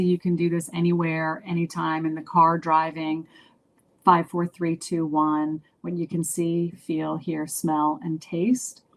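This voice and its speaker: In an ordinary speaking voice, a woman talks at a fairly slow pace with a fairly low pitch. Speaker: children's book author presenting a webinar. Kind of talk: webinar presentation. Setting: online webinar.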